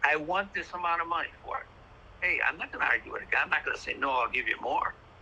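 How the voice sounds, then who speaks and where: Over noticeable background noise, the words come out at a very fast pace. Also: man. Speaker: retired baseball card dealer. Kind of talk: interview conversation. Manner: halting, repetitive stammering.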